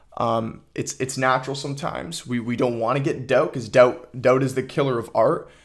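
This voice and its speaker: Speaking at a moderate pace with hardly any pauses, a man uses a medium pitch, fairly even intonation and vocal fry. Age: 20s. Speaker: podcast host and aspiring filmmaker. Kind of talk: solo casual monologue. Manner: casual, with frequent fillers and repetitions.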